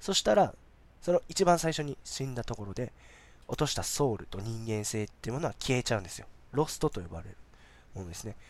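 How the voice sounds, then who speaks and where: A man's medium-pitched voice at a very fast pace, with very wide pitch swings and big swings in loudness, in a very clean recording with a silent background. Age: 30s. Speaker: podcast host. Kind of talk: casual solo talk.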